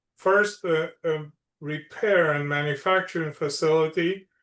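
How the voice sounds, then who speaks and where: A man speaks with a Romanian accent in a monotone, flat intonation. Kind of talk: podcast interview.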